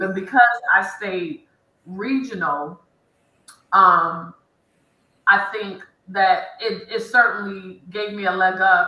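A woman with an American accent and a bright, sharp tone speaks at a very slow pace, with long, frequent pauses and audible room echo. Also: ordinary pitch variation, big swings in loudness. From Detroit, Michigan. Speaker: engineer; panelist. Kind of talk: panel discussion. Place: home room. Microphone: video call.

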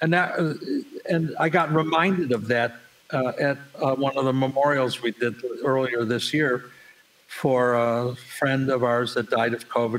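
A man with an American accent, medium pitch, ordinary pitch variation and a fairly slow pace, over noticeable background noise. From Buffalo, New York. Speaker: recording studio owner and engineer. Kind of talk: casual interview storytelling.

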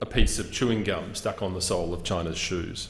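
A man at a fairly quick pace, with audible room echo. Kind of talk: formal parliamentary speech. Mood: earnest, firm. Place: hall. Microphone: podium.

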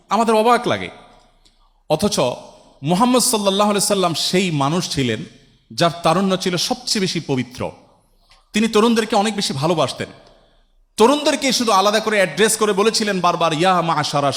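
A man speaks with a high voice. His intonation is lively. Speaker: Islamic preacher answering audience questions. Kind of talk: Islamic sermon (waz) answering a question from the audience.

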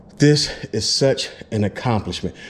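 Light background noise sits behind a man as he speaks. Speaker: motorcycle vlogger. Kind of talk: casual vlog chat. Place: garage. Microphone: phone near.

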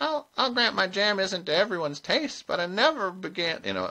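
A man puts on a character voice, pitched high, and keeps a moderate pace. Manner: modest, mild.

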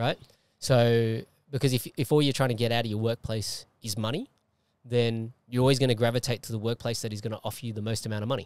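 At a very fast pace, a man speaks with fairly even intonation in a dry sound with no echo. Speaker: podcast host and martial artist; podcast host. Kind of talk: casual interview. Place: car. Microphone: handheld.

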